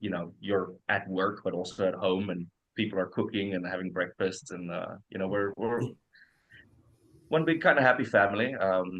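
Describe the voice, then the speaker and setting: Using ordinary pitch variation, a man speaks at a moderate pace in a fairly low voice. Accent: South African. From South Africa. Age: 30s. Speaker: rock guitarist. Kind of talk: casual chat. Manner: hesitant, many fillers.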